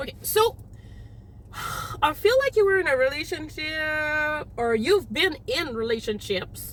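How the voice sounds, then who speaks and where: A loud, animated woman at a fairly slow pace with very wide pitch swings amid noticeable background noise. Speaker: tarot reader. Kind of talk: tarot reading. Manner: casual, animated.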